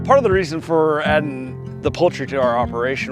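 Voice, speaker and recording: With music in the background, a man with a Midwestern American accent speaks at a fairly quick pace with ordinary pitch variation. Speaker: farmer. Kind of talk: interview answer. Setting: outdoors.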